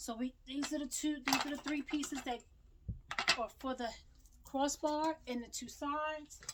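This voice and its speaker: A woman speaks loudly at a moderate pace. Her pitch varies in an ordinary way. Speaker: small business owner and crafter. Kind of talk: tutorial. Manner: casual, chatty.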